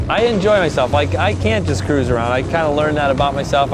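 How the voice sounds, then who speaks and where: A man's voice sounds dry with no echo while music plays in the background. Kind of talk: interview answer. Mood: relaxed, upbeat, laughs.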